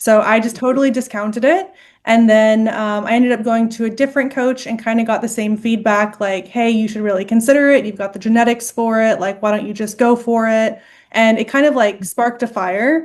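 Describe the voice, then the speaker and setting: A woman with an American accent has a plain, everyday voice at a fairly high pitch. She talks at a fairly quick pace with fairly even intonation. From Texas. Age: 20s. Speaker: bodybuilding competitor. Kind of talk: interview.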